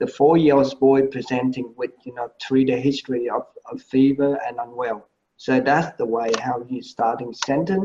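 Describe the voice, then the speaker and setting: With a Vietnamese accent, a man speaks at a moderate pace in a dark, mellow voice of medium pitch and fairly even intonation. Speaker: medical presentation panelist. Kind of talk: feedback critique. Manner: halting.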